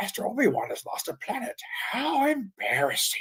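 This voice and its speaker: A put-on character voice, high-pitched, at a moderate pace. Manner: mocking, teasing.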